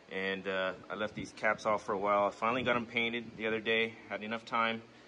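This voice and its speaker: Light background noise sits behind a man whose intonation stays fairly even. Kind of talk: casual vlog chat. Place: garage. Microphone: phone near.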